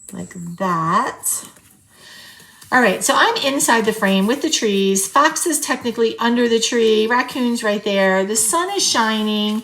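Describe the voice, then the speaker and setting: Over noticeable background noise, a woman talks at a fairly slow pace, her fairly high voice full of lively intonation. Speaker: journaling video creator. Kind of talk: crafting tutorial chat. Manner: casual, chatty.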